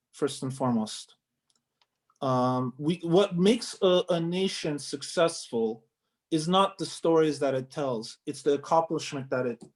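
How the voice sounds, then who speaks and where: Lively in intonation, a man speaks in an ordinary speaking voice at a moderate pace and a fairly high pitch. The recording is very clean, with a silent background. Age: young. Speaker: article writer. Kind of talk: interview answer.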